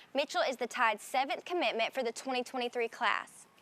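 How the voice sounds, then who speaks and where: This woman speaks in a raised, projected voice set high in pitch. Her pitch varies in an ordinary way. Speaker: sports news anchor. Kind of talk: sports news broadcast air check.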